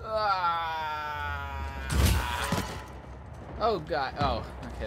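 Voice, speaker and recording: Noticeable background noise runs through the clip. The speaker hardly pauses at all. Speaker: gamer streamer. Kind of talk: live gameplay commentary with an angry rant, swearing and euphemisms like frick and dang. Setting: video game commentary.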